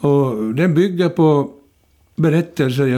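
Very slowly, a man speaks in a dark, mellow tone. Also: very clean recording, silent background. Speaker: retired journalist and author. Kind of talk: interview.

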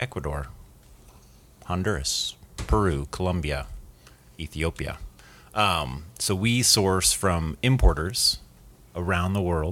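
A man with a very deep, low pitch speaks at a fairly slow pace, leaving long, frequent pauses. The recording is very clean, with a silent background. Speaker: coffee roasting company co-owner, podcast guest.

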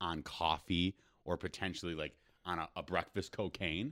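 A man's very deep, low voice with a bright, sharp tone, on a very clean recording with a silent background. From Rochester, Minnesota. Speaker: comedian.

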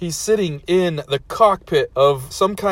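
A passage read aloud in a natural voice

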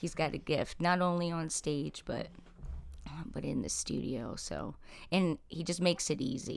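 A woman with an American accent speaks at a moderate pace in a fairly low pitch, with vocal fry and lively intonation. The recording is very clean, with a silent background. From South Jersey, US. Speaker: rock singer. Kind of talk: casual chat. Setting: studio.

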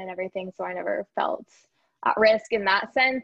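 A woman speaks in a normal speaking voice with an American accent. Her pitch is medium and her pace fairly quick. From Iowa, US Midwest. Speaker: neonatal physician assistant. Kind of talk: casual interview.

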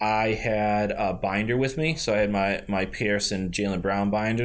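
A man with an American accent and a normal speaking voice talks at a moderate pace in a fairly low pitch. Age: 30s. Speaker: basketball card collector. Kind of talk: casual chat.

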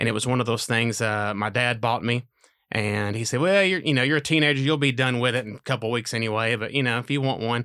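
At a very fast pace, a bright, sharp voice with a Tennessee accent shows ordinary pitch variation on a very clean recording with a silent background. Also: man, medium pitch for a man. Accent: Southern US (Tennessee). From Northwest Tennessee, US South. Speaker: church worship leader. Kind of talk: casual chat.

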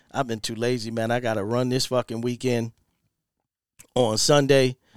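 The speech moves at a moderate pace, captured in a very clean recording with a silent background and a dry, close sound with no echo. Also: man. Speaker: podcast host. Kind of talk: casual solo rant with profanity. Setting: home studio recording. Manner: animated, loud, repetitive.

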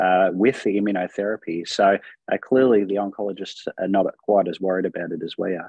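This man speaks in an Australian accent at a fairly quick pace. His voice is fairly low in pitch, with fairly even intonation. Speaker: rheumatologist. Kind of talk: panel discussion.

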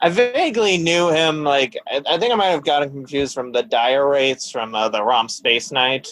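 A man in a plain, everyday voice, fairly high in pitch, with lively intonation, a moderate pace and hardly any pauses. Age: 20s. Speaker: astronomy graduate and podcast guest. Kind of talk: casual chat.

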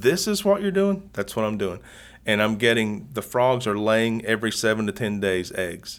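A man at medium pitch with an Appalachian accent. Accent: Southern Appalachian American. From Southwest Virginia / East Tennessee, Southern Appalachians. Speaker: YouTuber and dart frog hobbyist. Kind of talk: casual interview. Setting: hotel room.

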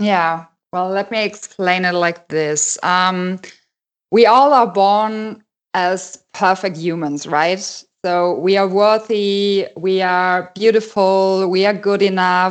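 Against a quiet background, a woman with a German accent speaks at a medium pitch and a very slow pace, with fairly even intonation. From Germany. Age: 30s. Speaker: life coach. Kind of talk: casual interview. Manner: hesitant, many fillers.

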